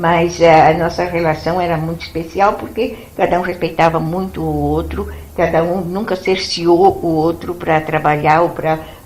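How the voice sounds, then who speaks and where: Amid noticeable background noise and audible room echo, a woman with a fairly low pitch speaks at a moderate pace in a monotone, flat manner. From São Paulo state, Brazil. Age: 80s+. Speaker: retired biology teacher, blogger. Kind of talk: interview.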